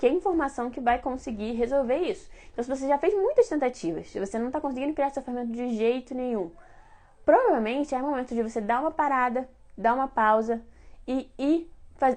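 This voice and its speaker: Quick-paced and fairly fast, a woman speaks at a high pitch with lively intonation. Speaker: baking teacher. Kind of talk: live-streamed class. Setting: Instagram live stream.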